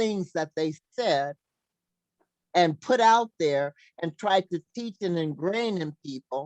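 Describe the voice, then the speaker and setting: A woman speaks loudly at a fairly slow pace, with very wide pitch swings. The sound is dry and close, without echo. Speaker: talk show host. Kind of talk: casual chat.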